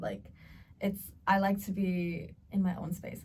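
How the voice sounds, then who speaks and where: A woman with an American accent speaks at a medium pitch. Her voice is somewhat breathy, and her intonation stays fairly even. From Australia. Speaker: podcast co-host. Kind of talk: casual chat.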